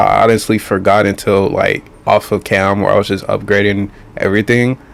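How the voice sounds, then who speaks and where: A man talks fairly quickly while noticeable noise fills the background. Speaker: gaming YouTuber. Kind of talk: gameplay commentary voiceover. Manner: casual, hesitant with fillers.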